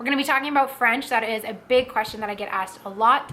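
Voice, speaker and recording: With noticeable background noise, a woman talks very fast in a fairly high pitch with ordinary pitch variation. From Ottawa, Ontario, Canada. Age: 20s. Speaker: vlogger. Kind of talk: casual talk to camera.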